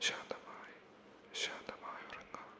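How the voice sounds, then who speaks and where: Noticeable background noise surrounds a man who is whispering. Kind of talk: ASMR sleep personal attention. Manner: soft-spoken; whispered.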